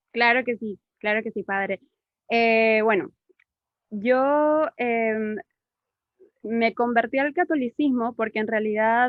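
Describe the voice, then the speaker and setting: A woman's fairly high voice at a fairly slow pace. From Peru. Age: 30s. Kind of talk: testimony. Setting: video call.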